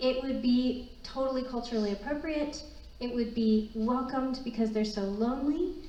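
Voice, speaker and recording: The voice belongs to a woman and sits high in pitch. Audible room echo surrounds it. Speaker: refugee ministry leader. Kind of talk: presentation. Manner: fast.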